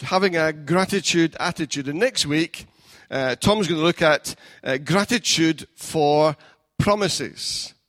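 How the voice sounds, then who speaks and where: Someone with a Scottish accent talks at a very slow pace, the sound dry and close with no echo on a very clean recording with a silent background. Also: man. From Scotland. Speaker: pastor. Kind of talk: sermon. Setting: church. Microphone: new mic.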